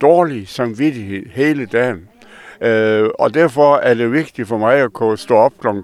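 A man talks very slowly, with ordinary pitch variation. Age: 80s+. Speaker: retired mayor. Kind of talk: casual interview. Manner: halting.

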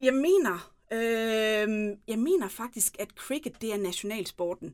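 On a very clean recording with a silent background, a woman talks very slowly in a fairly high pitch with lively intonation. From Southern Jutland, Denmark (Tønder area). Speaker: mayoral candidate. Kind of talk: interview.

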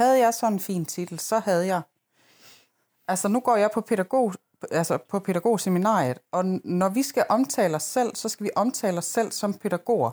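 In a very clean recording with a silent background and a dry, close sound with no echo, a woman with a plain, everyday voice speaks at a medium pitch and moderate pace with lively intonation. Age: 30s. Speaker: podcast co-host. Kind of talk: casual chat.

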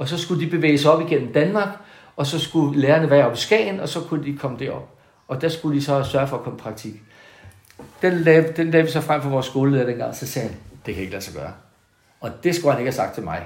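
A man's fairly high-pitched voice with vocal fry and ordinary pitch variation, at a very fast pace with big swings in loudness and audible room echo. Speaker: retired school principal. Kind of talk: casual interview. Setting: at home in the countryside. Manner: halting, many repetitions.

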